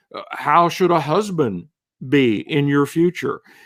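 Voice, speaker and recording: Lively in intonation, a man with a plain, everyday voice speaks fairly slowly at a fairly high pitch on a very clean recording with a silent background. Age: 60s. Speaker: author. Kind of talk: interview.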